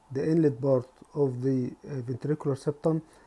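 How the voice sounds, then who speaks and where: With a non-native accent, a man speaks at a moderate pace in a dark, mellow tone, his fairly high pitch held to fairly even intonation. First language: not English. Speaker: anaesthetist lecturer. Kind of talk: lecture. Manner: halting.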